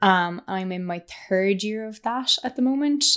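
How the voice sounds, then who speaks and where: A woman with an Irish accent. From Ireland. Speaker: PhD researcher. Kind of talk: casual interview chat.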